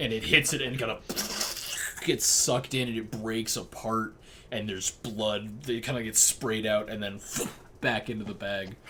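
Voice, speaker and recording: A man puts on a raspy character voice at a medium pitch and a moderate pace. He leaves long, frequent pauses, and clear background noise can be heard. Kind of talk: fantasy game master narration. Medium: actual play. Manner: casual, halting, full of fillers.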